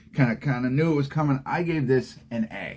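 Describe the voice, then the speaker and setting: A man with a medium-pitched voice talks while noticeable noise plays in the background. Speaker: aspiring AI consultant vlogger. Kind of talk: casual screen-share tutorial. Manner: casual with many fillers.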